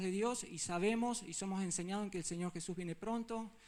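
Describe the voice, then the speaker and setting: Male voice, high-pitched, its intonation fairly even. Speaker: lay preacher. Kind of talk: sermon. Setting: church. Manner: fast.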